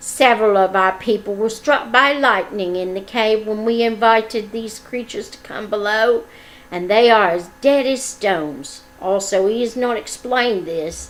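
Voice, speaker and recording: A female-sounding voice does a put-on character voice at a fairly high pitch and a moderate pace. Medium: read story. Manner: toadying.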